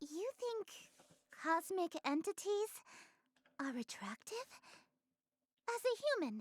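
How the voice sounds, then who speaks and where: A put-on character voice with extremely high pitch, very wide pitch swings, a fairly slow pace and long, frequent pauses. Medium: game stream. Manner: regal, poised.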